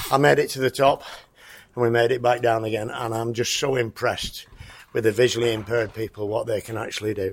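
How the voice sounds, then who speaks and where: Doing a raspy put-on character voice at medium pitch, a man talks at a very fast pace. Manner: impressed, enthusiastic.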